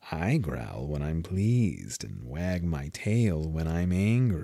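A put-on character voice, very deep and low, moves at a very slow pace. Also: very clean recording, silent background. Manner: sly, amused, philosophical.

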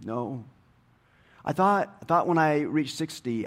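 A man with a plain, everyday voice speaks at a moderate pace with lively intonation. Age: 60s. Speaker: pastor. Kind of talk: sermon. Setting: church.

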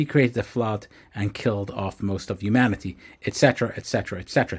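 A somewhat breathy man on a very clean recording with a silent background. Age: 40s. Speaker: podcast host, former rabbi and startup founder. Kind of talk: personal reflective monologue. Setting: home recording with books behind, also on video.

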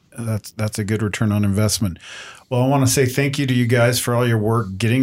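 Speaking at a fairly quick pace with fairly even intonation, a man in an unremarkable speaking voice of medium pitch comes through in a very clean recording with a silent background. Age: 50s. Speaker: podcast host. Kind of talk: panel discussion.

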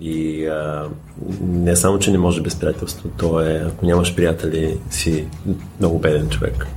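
A man with a very deep, low pitch talks at a fairly slow pace amid audible room echo and noticeable background noise. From Bulgaria. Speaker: wine merchant and former sommelier. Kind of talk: casual chat.

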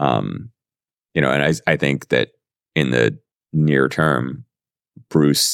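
A man talks at a fairly slow pace with vocal fry. The sound is dry and close, with no echo. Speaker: podcast host. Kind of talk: casual chat.

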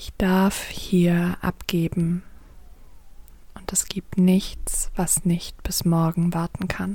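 Very slow and monotone, with flat intonation, a woman speaks at a fairly low pitch. Her tone is gentle, dark and mellow, and somewhat breathy. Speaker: coach and yoga teacher. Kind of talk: guided meditation. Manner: slow, soft, calming; gentle, flowing, with long pauses.

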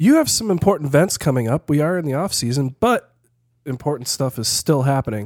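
An ordinary speaking voice from a man, fairly high in pitch, at a fairly quick pace with lively intonation, dry and close with no echo on a very clean recording with a silent background. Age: 40s. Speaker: podcast host. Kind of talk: casual chat.

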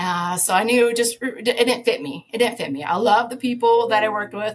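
Using a plain, everyday voice, a woman with an American accent talks at a fairly high pitch and a moderate pace with ordinary pitch variation. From US Midwest. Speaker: conservation advocate and former biologist. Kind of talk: casual interview.

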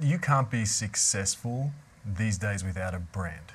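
Talking at a fairly slow pace, a man uses lively intonation. He has an Australian accent. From Australia, Melbourne (Yarra Valley). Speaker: real estate marketing director. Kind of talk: casual chat.

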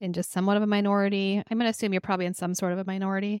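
Speaking in an American accent, a woman uses a medium pitch. The sound is dry and close, with no echo. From US Midwest, Minnesota. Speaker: podcast host, electrical engineer. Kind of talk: casual interview. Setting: video call.

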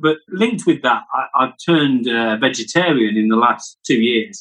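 Lively in intonation, a man with a British accent speaks at a medium pitch and a moderate pace. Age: 50s. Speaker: podcast co-host, entrepreneur. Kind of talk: casual chat.

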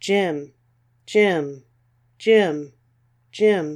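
Someone puts on a character voice pitched in the middle range. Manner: repeated calling.

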